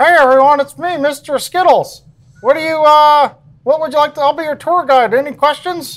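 The speaker puts on a high-pitched character voice and keeps a moderate pace. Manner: talking out of the side of the mouth, cheerful.

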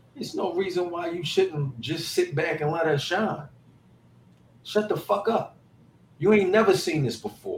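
Lively intonation comes through long, frequent pauses, with noticeable background noise behind it. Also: man, high pitch for a man, moderate pace. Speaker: podcast host. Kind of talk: casual banter.

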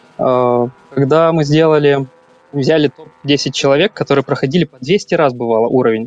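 Noticeable background noise sits behind a man with a fairly high pitch and ordinary pitch variation. The sound is dry and close with no echo. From Ukraine, Kyiv. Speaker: game data analyst. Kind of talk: podcast panel discussion.

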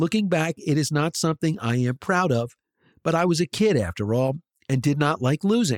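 This man has a fairly high pitch, an American accent, a plain, everyday voice, and lively intonation at a moderate pace. His loudness is very even, and the recording is very clean and dry, with a close sound, no echo and a silent background. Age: 50s. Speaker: podcast host. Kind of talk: scripted narration; interview.

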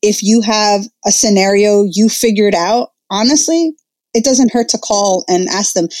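Speaking with a New Jersey accent, a woman uses lively intonation at a medium pitch and a moderate pace. The recording is very clean with a silent background. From northern New Jersey, Jersey City. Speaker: educator and influencer. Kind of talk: interview.

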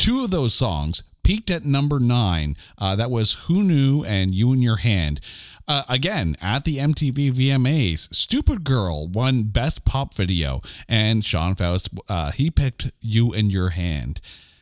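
In a very clean recording with a silent background, a man speaks fairly slowly, his pitch swinging very widely. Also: medium pitch for a man. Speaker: podcast host. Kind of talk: casual chat. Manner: animated.

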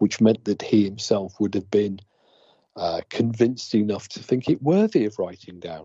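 The speaker has an English accent and a moderate pace. Pitch varies in an ordinary way. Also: man. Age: 60s. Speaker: ghost hunter. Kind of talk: casual chat. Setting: phone call. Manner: quieter than usual.

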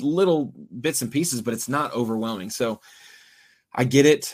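A man speaks at a moderate pace in a medium pitch. His is an unremarkable speaking voice. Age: 30s. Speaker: fishing TV broadcaster. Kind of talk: casual chat.

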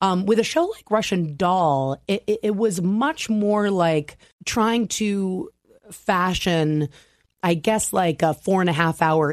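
Over a quiet background, a woman with an American accent talks at a fairly slow pace. She has a normal speaking voice at a medium pitch, with lively intonation. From US Mid-Atlantic, Maryland. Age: 30s. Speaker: screenwriter and director. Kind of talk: interview.

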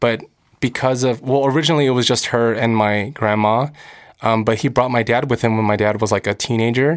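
In a normal speaking voice with an American accent, the speaker goes at a fairly quick pace with very even loudness and fairly even intonation, on a very clean recording with a silent background. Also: man, medium pitch for a man. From Los Angeles, US. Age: 20s. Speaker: actor and singer. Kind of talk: casual interview chat. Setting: studio at a university.

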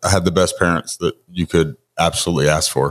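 A man with an American accent at a very deep, low pitch and moderate pace, over a quiet background. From US South, Georgia (Lawrenceville area). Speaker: motivational speaker and bodybuilder. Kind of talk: interview, life story.

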